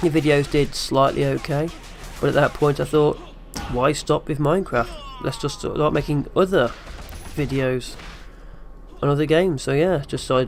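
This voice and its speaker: With music playing in the background, a man speaks in a fairly even intonation and takes long, frequent pauses. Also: fairly high pitch for a man, moderate pace. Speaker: gaming youtuber. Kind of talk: vlog q and a. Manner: flat, low-energy.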